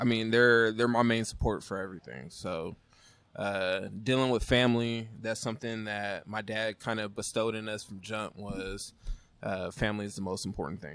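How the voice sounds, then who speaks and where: Here a man has a plain, everyday voice with fairly low pitch. He keeps a moderate pace and fairly even intonation. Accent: American. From Northern California (Rancho Cordova area). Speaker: brewery owner and brewer. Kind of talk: casual interview chat. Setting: brewery.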